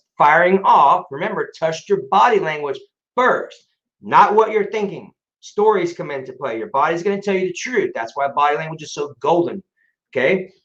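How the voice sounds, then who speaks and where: Lively intonation at a moderate pace. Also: man. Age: 40s. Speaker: health coach. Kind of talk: interview. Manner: animated.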